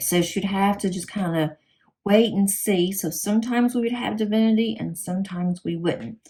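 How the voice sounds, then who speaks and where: A woman with a Southern US accent speaks at a medium pitch in a dark, mellow, somewhat breathy tone, with ordinary pitch variation. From US South. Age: 50s. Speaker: crafting YouTuber. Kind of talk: casual chat.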